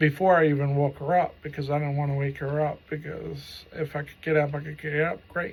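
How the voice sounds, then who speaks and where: A man with a fairly high, somewhat breathy voice talks at a fairly quick pace with hardly any pauses. His intonation is monotone and flat, on a very clean recording with a silent background. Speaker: stroke survivor. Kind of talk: personal story monologue. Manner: halting; casual, profanity.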